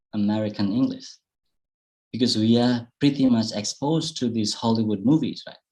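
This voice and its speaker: A man's dark, mellow voice at medium pitch, with ordinary pitch variation and a moderate pace. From Indonesia, Bali. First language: Indonesian. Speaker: public speaking presenter. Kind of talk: online workshop Q&A answers.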